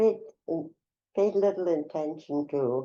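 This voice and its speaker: Very slow in pace, this voice has a dark, mellow tone and ordinary pitch variation. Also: woman. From Czechoslovakia. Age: 90s. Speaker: Holocaust survivor. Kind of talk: testimony. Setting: in-person interview. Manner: halting.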